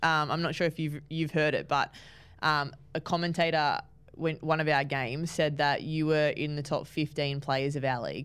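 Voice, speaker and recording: On a very clean recording with a silent background, a woman with an Australian accent speaks in a very deep, low pitch with monotone, flat intonation. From New South Wales, Australia. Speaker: footballer hosting team podcast. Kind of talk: casual interview.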